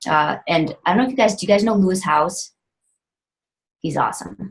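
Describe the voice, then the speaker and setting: A woman's animated, somewhat breathy voice at medium pitch, fairly quick but broken by long, frequent pauses. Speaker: fitness coach. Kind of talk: team call talk. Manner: fast.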